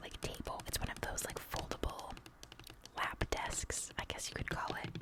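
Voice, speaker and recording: A woman is whispering at a moderate pace. There is noticeable background noise. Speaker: ASMR creator. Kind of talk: whispered ASMR ramble. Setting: voiceover recorded over tapping and scratching. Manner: whispered, soft, chatty.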